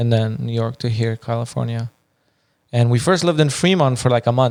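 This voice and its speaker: With an Iranian accent, a man talks at a fairly quick pace in a medium-pitched voice. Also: ordinary pitch variation. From Afghanistan (Kabul). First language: Farsi. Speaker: podcast co-host. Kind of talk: casual chat.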